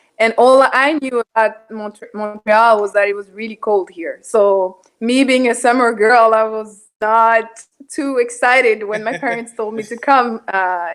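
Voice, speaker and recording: A woman with a French accent and a fairly high voice, fairly slow and hardly pausing, fairly even in intonation yet with big swings in loudness. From Ivory Coast. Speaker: parishioner guest. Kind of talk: casual chat.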